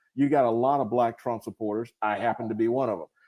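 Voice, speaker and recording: A man speaks with a Southern US accent. His pace is moderate, and his pitch varies in an ordinary way. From US South, rural North Carolina. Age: 60s. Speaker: retired military officer and congressional candidate. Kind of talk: live stream interview. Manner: casual, animated.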